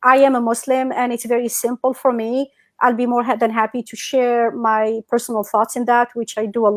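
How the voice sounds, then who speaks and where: A woman with a North African accent at a moderate pace. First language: Berber. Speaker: entrepreneur and educator. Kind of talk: casual chat. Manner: animated.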